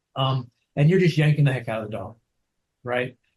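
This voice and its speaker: With a somewhat breathy voice, a man speaks at a fairly quick pace and a fairly high pitch, using ordinary pitch variation. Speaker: dog trainer. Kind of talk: interview. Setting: video call. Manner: halting.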